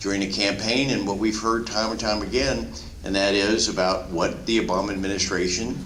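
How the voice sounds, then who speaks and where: There is audible room echo and noticeable background noise as a man speaks with a fairly low pitch and ordinary pitch variation. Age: 60s. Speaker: politician. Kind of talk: town hall speech. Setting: town hall meeting with audience. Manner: halting, many fillers and repeats.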